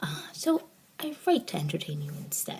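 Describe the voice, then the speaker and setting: A woman whispers quietly at a moderate pace. Noticeable background noise sits behind her. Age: 40s. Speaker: author and blogger. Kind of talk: casual vlog. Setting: home office, vlog to camera. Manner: quiet, near-whispering.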